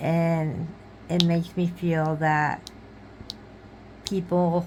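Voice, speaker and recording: A woman with a fairly low pitch speaks very slowly in monotone, flat intonation, with audible room echo. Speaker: crafting YouTuber. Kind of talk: casual vlog chat. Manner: halting, searching for words.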